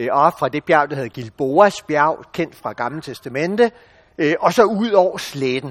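A man's fairly high-pitched voice, lively in intonation and fairly slow in pace, with a dry, close sound and no echo. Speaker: bible teacher. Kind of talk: bible teaching talk. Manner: hesitant with fillers.

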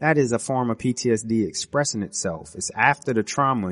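A man at a fairly quick pace with ordinary pitch variation, in a dry, close sound with no echo. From US, West Indian family. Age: 30s. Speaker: podcast host, military veteran. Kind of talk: solo monologue podcast. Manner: casual, with frequent fillers and restarts.

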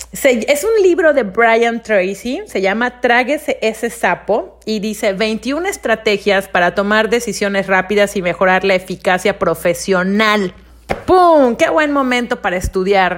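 A woman's fairly high voice with lively intonation, fairly slow in pace yet with hardly any pauses. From Mexico, Mérida, Yucatán. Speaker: podcast host. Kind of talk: casual monologue. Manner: conversational, with hesitations.

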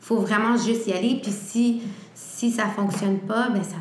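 A woman's medium-pitched voice at a fairly slow pace, with fairly even intonation, audible room echo, and noticeable background noise. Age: 20s. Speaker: entrepreneur. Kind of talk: interview.

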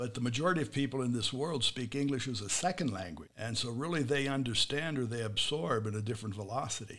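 Barely stopping for any pauses, a man rushes along at a very fast pace with ordinary pitch variation. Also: medium pitch for a man. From USA. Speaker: podcast host. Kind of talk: interview; scripted intro. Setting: studio.

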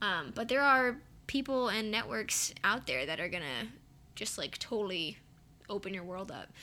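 A woman speaks with an American accent at a moderate pace, her medium-pitched voice bright and sharp with vocal fry. Her pitch swings very widely. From US West Coast, San Francisco Bay Area. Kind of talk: casual chat.

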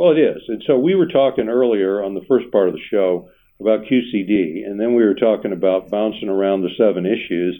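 Using an ordinary speaking voice, a man with a fairly low pitch and ordinary pitch variation talks at a fairly quick pace. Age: 60s. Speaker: financial planner and radio show host. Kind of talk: casual radio talk show chat.

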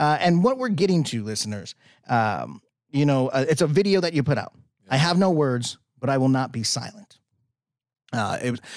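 A man with a Chicago accent, his voice fairly high with lively intonation, on a very clean recording with a silent background. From Chicago, US Midwest. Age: 30s. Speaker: podcast host. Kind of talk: casual podcast interview.

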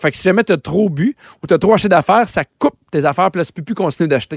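At a very fast pace, a man with a high pitch and ordinary pitch variation speaks in a dry, close sound with no echo. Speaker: radio host. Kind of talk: casual chat.

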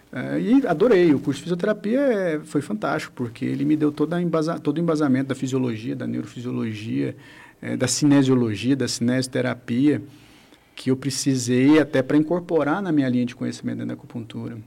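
With an ordinary speaking voice, a man talks at a medium pitch with ordinary pitch variation. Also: fairly quick pace. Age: 40s. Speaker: acupuncturist and physiotherapy teacher. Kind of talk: radio interview.

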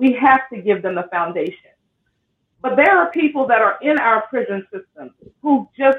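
The woman's high voice swings very widely in pitch as she talks at a moderate pace. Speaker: podcast host. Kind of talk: casual podcast discussion.

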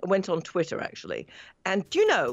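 Her pitch sits fairly low for a woman. She has a British accent. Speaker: radio industry reporter. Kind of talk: panel discussion. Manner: halting.

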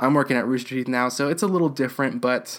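Medium pitch from a man. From Texas (Houston). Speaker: podcast host. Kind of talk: casual podcast update. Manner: animated.

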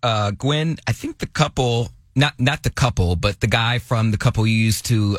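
This man's voice is medium in pitch and somewhat breathy, with ordinary pitch variation. He speaks at a moderate pace in a dry, close sound with no echo. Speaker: radio show co-host. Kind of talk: casual comedic talk radio.

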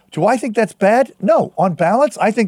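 Lively intonation from a male speaker. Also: dry, close sound with no echo. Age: 60s. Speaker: journalist and tech conference founder. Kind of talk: casual chat.

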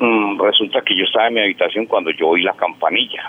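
A man with a paisa accent, over noticeable background noise. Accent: paisa Colombian Spanish. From Antioquia, Colombia. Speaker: caller. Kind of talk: personal ghost story on phone. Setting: phone call.

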